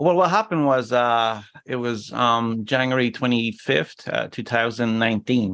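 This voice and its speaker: With an Irish accent, a man speaks in medium pitch at a moderate pace. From Ireland, Cork. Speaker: injury survivor, wheelchair user. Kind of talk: interview.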